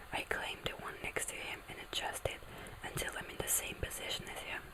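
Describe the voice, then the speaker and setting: Whispering at a moderate speed, a woman is heard through noticeable background noise. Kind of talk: ASMR book reading. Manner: whispered, soft.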